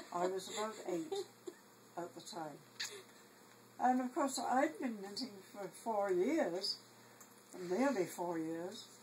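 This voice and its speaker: A woman speaks at a very slow pace with long, frequent pauses. Her medium-pitched voice has lively intonation. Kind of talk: family storytelling, casual talk.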